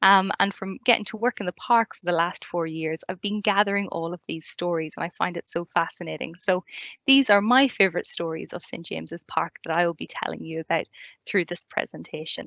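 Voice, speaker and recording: Speaking in an Irish accent, a woman shows big swings in loudness. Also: fairly low pitch for a woman, ordinary pitch variation, fairly quick pace. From Ireland. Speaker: community learning officer, tour guide. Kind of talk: online presentation talk. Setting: live online video event.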